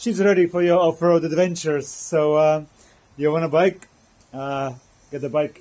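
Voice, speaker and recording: A man's intonation stays fairly even as he speaks at a moderate pace. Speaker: motorcycle vlogger. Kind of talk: casual vlog chat. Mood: cheerful, relaxed. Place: garage. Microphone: phone near.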